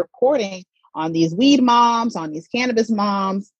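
Lively intonation marks a woman speaking with an American accent, somewhat breathy. The sound is dry and close, with no echo. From US South, Atlanta, Georgia. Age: 30s. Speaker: cannabis content creator, mother, former journalist. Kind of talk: casual interview.

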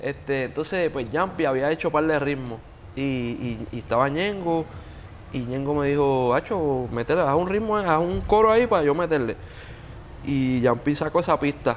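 A man with an ordinary speaking voice, fairly high in pitch, with lively intonation and a fairly slow pace. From Puerto Rico (Yauco). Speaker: music producer and singer. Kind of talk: casual interview chat. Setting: beach club.

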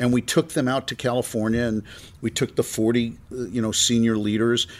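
A man in a New York accent, medium in pitch, fairly even in intonation, at a moderate pace, in a very clean recording with a silent background. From US, New York (Brooklyn). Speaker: podcast host, marketing executive. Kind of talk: interview conversation. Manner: repetitive, hesitant.

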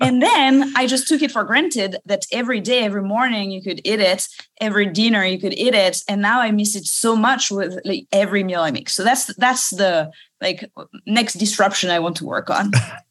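Speaking at a fairly quick pace, a woman talks with a French accent. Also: medium pitch for a woman, ordinary pitch variation. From France, Paris suburbs. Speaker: startup founder and CEO. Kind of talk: interview.

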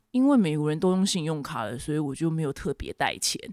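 A woman's lively intonation at a fairly quick pace, with a dry, close sound and no echo. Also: very clean recording, silent background. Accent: Taiwanese. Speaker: podcast host. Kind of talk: casual solo talk and news commentary.

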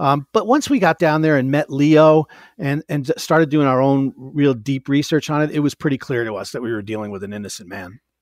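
An ordinary speaking voice from a man, fairly high in pitch, with lively intonation, a fairly quick pace, hardly any pauses, a dry, close sound with no echo and a very clean recording with a silent background. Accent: American. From upstate New York. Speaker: author and podcast host. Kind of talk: casual interview.

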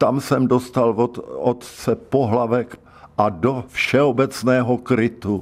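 A man speaks at a very slow pace in a medium pitch. His intonation is fairly even and his loudness very even. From South Bohemia, České Budějovice. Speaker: retired secondary school teacher. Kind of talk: life-story radio interview.

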